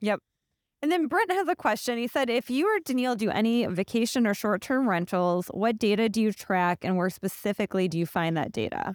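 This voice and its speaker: Speaking at a fairly quick pace in a plain, everyday voice, a woman keeps a fairly high pitch and very even loudness, heard in a dry, close sound with no echo. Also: lively intonation, very clean recording, silent background. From Ohio, US Midwest (Akron). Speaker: real estate podcast co-host. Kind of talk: reading listener questions; casual chat.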